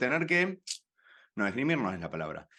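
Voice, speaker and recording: With a Rioplatense accent, a man speaks at a fairly high pitch in a bright, sharp tone, his pitch swinging very widely, over a quiet background. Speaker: activist and platform cofounder. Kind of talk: interview conversation.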